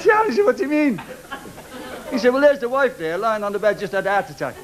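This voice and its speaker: With crowd noise in the background, a man talks at a very fast pace and an extremely high pitch, his voice making very wide pitch swings. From Liverpool. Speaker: stand-up comedian. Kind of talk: stand-up comedy routine. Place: stage. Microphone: studio mic.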